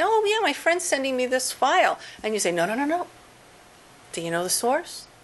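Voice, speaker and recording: Her pitch swings very widely as the woman talks at a moderate pace against noticeable background noise. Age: 50s. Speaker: professor. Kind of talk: lecture; audience Q&A. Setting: seminar with audience.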